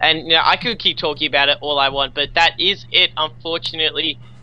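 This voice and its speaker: In an Australian accent, a man talks at a fairly quick pace with fairly even intonation. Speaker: esports caster. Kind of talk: live commentary.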